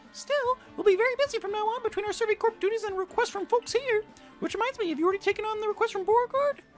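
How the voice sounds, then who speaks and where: Over clear music in the background, a man rattles along very fast in a squeaky, put-on character voice. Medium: game stream. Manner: jolly, chatty.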